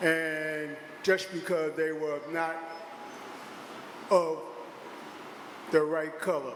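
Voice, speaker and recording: Amid noticeable background noise and audible room echo, a high-pitched man speaks at a very slow pace in a flat monotone. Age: 70s. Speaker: public hearing speaker. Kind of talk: public testimony.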